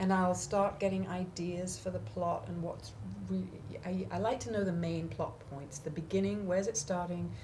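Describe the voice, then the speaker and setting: A woman speaks with an English accent amid noticeable background noise and audible room echo. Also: moderate pace. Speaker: author and songwriter. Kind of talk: interview.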